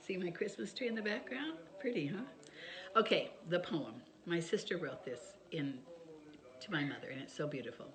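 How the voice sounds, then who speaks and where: A woman at medium pitch talks at a moderate pace with very wide pitch swings and long, frequent pauses, and the room echo is audible. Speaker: author sharing family stories. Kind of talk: casual chat to camera. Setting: home video by Christmas tree.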